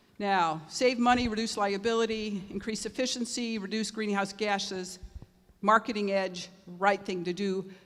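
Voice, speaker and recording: In a room with audible echo, a woman speaks at medium pitch and a moderate pace with fairly even intonation. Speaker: zero waste consultant and panel moderator. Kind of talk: conference panel presentation.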